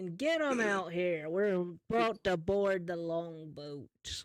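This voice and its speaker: Someone in a put-on character voice speaks at a middle pitch and a fairly slow pace. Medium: actual play. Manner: curt, bossy.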